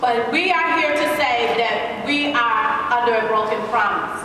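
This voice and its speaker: Against noticeable background noise and strong room echo, a woman talks. Her pitch is high and her pace moderate. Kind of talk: press conference statement. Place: hall. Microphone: camera far.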